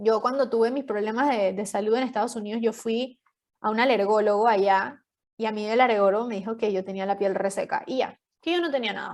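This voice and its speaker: A woman in an ordinary speaking voice, at a fairly quick pace with ordinary pitch variation. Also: fairly high pitch for a woman. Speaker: podcast guest sharing health story. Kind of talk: interview testimony. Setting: podcast.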